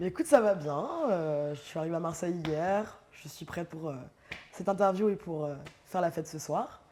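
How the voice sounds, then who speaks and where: A woman with a fairly low pitch speaks at a moderate pace, her loudness swinging widely and her pitch varying in an ordinary way, against noticeable background noise. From northern France, Amiens. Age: 30s. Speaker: DJ. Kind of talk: casual interview. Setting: studio loft.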